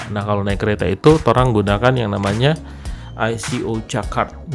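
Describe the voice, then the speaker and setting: A man with a Manado accent speaks at a fairly low pitch with ordinary pitch variation, music playing in the background. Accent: Manado Malay. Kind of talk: casual travel talk to camera.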